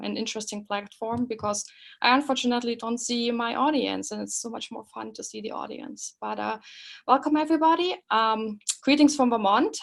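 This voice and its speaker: A woman with a fairly high-pitched voice talks at a moderate pace. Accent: German. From Germany (East Germany). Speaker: professor. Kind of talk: webinar lecture. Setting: online webinar. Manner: halting, many fillers.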